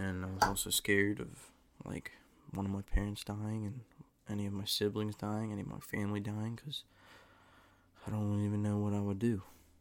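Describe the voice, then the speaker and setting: Fairly quick speech from a man at a fairly low pitch, with fairly even intonation and long, frequent pauses. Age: 20s. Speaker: podcast host. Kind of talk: solo monologue. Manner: halting, many fillers; casual.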